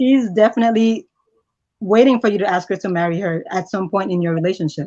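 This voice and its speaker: This woman has a medium pitch, a dark, mellow tone and ordinary pitch variation. She talks at a very fast pace with a slight Nigerian accent. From Nigeria, raised in US from age 11. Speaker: interview guest. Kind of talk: interview.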